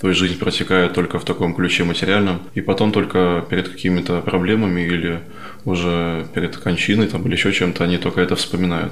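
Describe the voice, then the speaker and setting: Over noticeable background noise and audible room echo, a man with a very deep, low voice speaks very fast in a monotone, flat delivery at very even loudness. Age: 20s. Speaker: seminary student. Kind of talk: interview.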